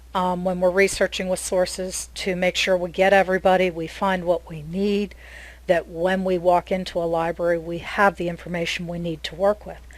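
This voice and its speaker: Her loudness swinging widely, a woman talks at a medium pitch and a moderate pace. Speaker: software developer and genealogy speaker. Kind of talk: presentation. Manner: gets loud when excited; hesitant, many fillers.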